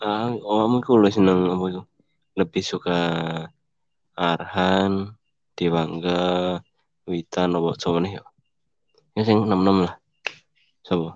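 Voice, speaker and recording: At a fairly slow pace, a man with a very deep, low pitch speaks in fairly even intonation, leaving long, frequent pauses. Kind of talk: casual chat about football.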